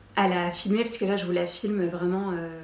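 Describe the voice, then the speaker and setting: Noticeable background noise fills the recording, and room echo can be heard too. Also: woman. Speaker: lifestyle YouTuber. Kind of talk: casual vlog Q&A. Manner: hesitant, many fillers; trembling voice.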